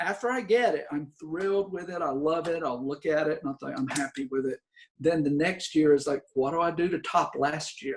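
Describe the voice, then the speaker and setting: Here is a man with a Southern US accent. His pitch is high. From US South, coastal North Carolina. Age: 60s. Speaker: actor and theater teacher. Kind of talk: interview conversation.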